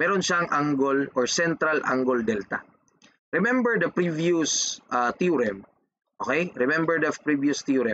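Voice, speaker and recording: A man with a fairly high pitch speaks at a fairly slow pace with lively intonation. His loudness stays very even. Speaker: engineering math teacher. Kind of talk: lecture.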